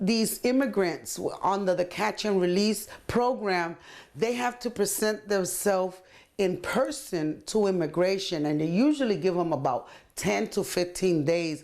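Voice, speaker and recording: A woman with a Puerto Rican accent talks at a fairly slow pace, her medium-pitched voice lively in intonation and very even in loudness. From Puerto Rico. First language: Spanish. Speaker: community organizer and translator. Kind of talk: interview.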